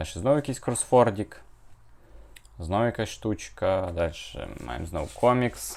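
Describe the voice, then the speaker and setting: Here a man speaks. His intonation is lively. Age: 20s. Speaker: YouTuber, comic collector. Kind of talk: casual video review.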